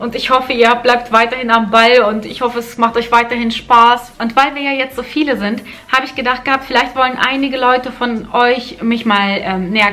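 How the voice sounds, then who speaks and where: A woman with a fairly high pitch speaks against noticeable background noise. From Germany (moved from Kazakhstan at age four). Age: 30s. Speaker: lifestyle vlogger. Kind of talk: casual vlog talk to camera. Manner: hesitant, with fillers and repetitions.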